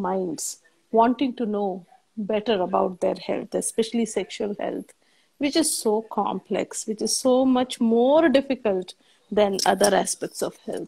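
The somewhat breathy voice shows ordinary pitch variation against a quiet background. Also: woman. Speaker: gynecologist. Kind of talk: expert panel discussion. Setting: livestream video call. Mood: warm, calm. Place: home room.

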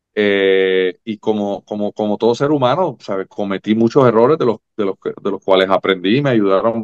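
Moderate pace against a quiet background. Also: man. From Puerto Rico. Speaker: former volleyball player; guest. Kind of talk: interview. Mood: relaxed, reflective. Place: home room. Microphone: video call.

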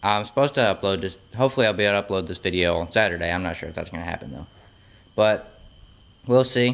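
This is a plain, everyday voice. Its pitch moves in an ordinary way. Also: man. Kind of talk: casual vlog chat. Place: garage. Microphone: phone near.

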